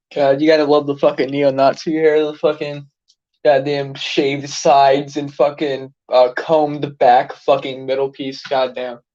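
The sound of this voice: The pace is fairly slow as a man speaks with little pitch movement. His tone is slightly mellow. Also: medium pitch for a man.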